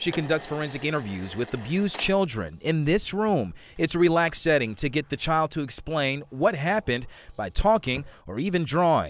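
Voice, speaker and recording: An ordinary speaking voice from a man, fairly high in pitch, at a moderate pace with lively intonation. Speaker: TV news reporter. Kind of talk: TV news package reporter narration.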